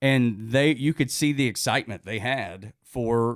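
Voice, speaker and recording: A man at medium pitch with a strong Southern US accent. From US South, northwest Georgia (Dalton). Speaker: radio host. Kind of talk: casual chat. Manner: halting.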